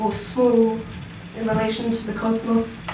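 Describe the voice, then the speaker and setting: Amid noticeable background noise and audible room echo, a woman with a fairly high pitch speaks at a fairly slow pace. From southern England. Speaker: performance poet. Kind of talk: spoken word poetry performance. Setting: stage with live audience. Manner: soft-spoken.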